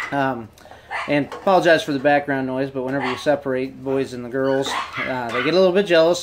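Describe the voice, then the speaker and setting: Noticeable noise sits in the background. The delivery runs fairly quick. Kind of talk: casual commentary. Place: home room. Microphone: phone near.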